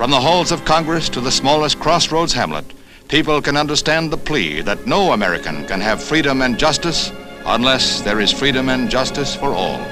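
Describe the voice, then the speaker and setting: A man with a fairly high voice speaks with lively intonation while music plays in the background. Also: moderate pace. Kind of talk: newsreel narration. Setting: 1960s newsreel recording.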